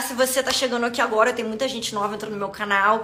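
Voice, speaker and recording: A woman's animated voice, with audible room echo and noticeable background noise. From Rio de Janeiro, Brazil. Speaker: podcast host, business coach for health professionals. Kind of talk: live stream monologue. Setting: live stream on social media.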